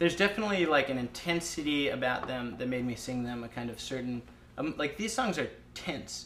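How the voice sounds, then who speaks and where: Lively intonation from a man with a fairly high pitch, noticeable background noise behind him. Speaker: lead singer of an indie rock band. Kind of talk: casual interview. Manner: fast, filler-heavy.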